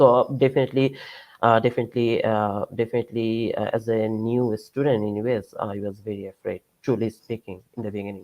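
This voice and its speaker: At a fairly quick pace, a man with a Bengali accent speaks in a medium pitch with monotone, flat intonation. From Bangladesh. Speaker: PhD student and researcher. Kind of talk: lecture. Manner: halting, many fillers.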